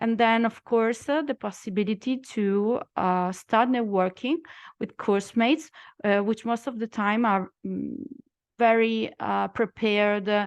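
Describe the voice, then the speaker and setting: She talks fairly slowly. Behind her the background is quiet. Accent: Italian. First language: Italian. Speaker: lawyer and former student. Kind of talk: testimonial talk in a webinar. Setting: online webinar. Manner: halting, many fillers.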